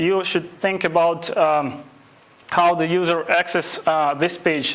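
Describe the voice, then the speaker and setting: A man with a non-native accent speaks in a high pitch with fairly even intonation. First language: not English. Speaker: web development instructor. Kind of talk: lecture. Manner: halting, many fillers.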